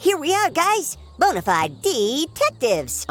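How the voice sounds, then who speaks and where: Music plays in the background. A cartoonish character voice speaks at a fairly slow pace. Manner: stammering, excitable.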